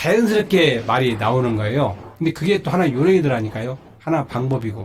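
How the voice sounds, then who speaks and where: This man speaks at a fairly quick pace. His voice is somewhat breathy. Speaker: singer and legal scrivener. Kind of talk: personal talk practice speech. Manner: halting, self-correcting.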